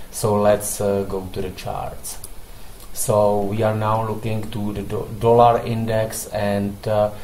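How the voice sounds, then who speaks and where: A fairly low-pitched man speaking very slowly in a monotone, flat intonation, with noticeable background noise and audible room echo. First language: not English. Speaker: forex trading analyst. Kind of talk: market analysis tutorial. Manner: halting, many fillers.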